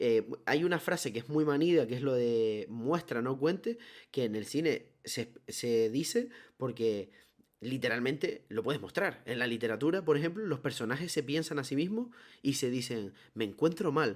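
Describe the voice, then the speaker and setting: Using an ordinary speaking voice, a man talks at a moderate pace, fairly high in pitch and with lively intonation. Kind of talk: casual chat.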